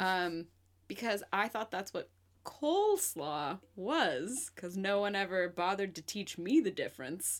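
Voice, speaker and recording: In a very clean recording with a silent background, a woman uses a normal speaking voice with a General American accent, a medium pitch, lively intonation and a fairly slow pace. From Portland, US Pacific Northwest. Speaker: podcast co-host. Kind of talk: casual chat.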